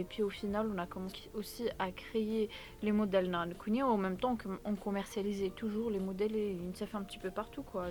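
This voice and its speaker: A woman speaks in a Kabyle accent at a fairly quick pace. Her pitch is medium and her intonation fairly even. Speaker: entrepreneur and content creator. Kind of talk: testimony. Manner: hesitant, many fillers.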